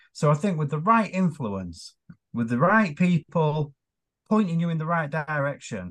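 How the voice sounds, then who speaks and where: Against a quiet background, a man with an ordinary speaking voice talks at a fairly quick pace with lively intonation. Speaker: podcast co-host. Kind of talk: casual chat. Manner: quieter, laid-back.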